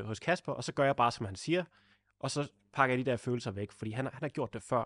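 A man talks at a fairly quick pace with ordinary pitch variation in a plain, everyday voice. The sound is dry and close with no echo, over a quiet background. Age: 20s. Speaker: podcast host, YouTuber. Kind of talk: podcast interview.

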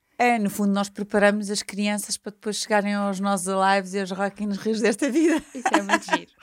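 A woman talks in a normal speaking voice at a fairly quick pace with hardly any pauses. Her pitch is medium, with ordinary pitch variation. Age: 50s. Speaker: events company executive. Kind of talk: interview. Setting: studio.

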